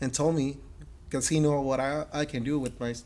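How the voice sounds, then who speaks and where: A man with a Mexican accent and fairly even intonation. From Mexico. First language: Spanish. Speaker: metal artist and business owner. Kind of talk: interview conversation. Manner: halting, many fillers and repetitions.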